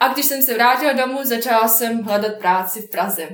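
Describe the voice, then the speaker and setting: Her voice high and carrying a Bosnian accent, a woman speaks with audible echo from the room. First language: Bosnian (speaking Czech). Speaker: software developer. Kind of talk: interview.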